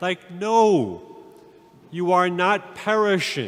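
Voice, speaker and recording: A man is speaking. Music plays in the background. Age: old. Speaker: priest. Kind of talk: sermon. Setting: church.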